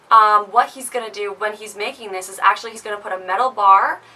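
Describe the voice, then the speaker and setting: Over noticeable background noise, a woman speaks fairly quickly at a medium pitch with ordinary pitch variation. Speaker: beauty and lifestyle vlogger. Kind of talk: tutorial. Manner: casual, filler-heavy.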